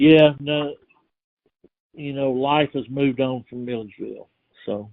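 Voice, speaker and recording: With a Georgia accent, this man talks at a fairly slow pace and a fairly high pitch, his intonation fairly even but his loudness swinging widely. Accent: Georgia Southern US. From US South. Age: 70s. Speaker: oral history interviewee. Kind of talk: oral history interview.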